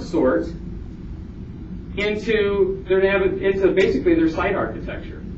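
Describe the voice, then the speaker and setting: A man's high-pitched voice amid noticeable background noise and audible room echo. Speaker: conference presenter, college administrator and faculty. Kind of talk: conference presentation. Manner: fast.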